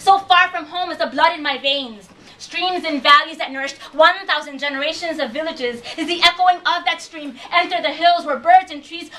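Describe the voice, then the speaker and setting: A woman's raised, projected voice at an extremely high pitch, with fairly even intonation, big swings in loudness, a moderate pace and noticeable background noise. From Chicago, Puerto Rican family. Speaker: performance poet. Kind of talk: spoken-word poetry performance.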